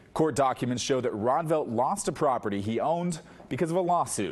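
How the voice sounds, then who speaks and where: A man speaks with a normal speaking voice at a fairly quick pace. His intonation is lively. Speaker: TV news anchor and investigative reporter. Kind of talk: TV news anchoring.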